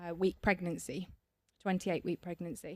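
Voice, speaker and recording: A woman speaks with an English Midlands accent. Her pace is moderate. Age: 40s. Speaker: cancer survivor and charity trustee. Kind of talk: podcast interview. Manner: hesitant, frequent fillers and repetitions.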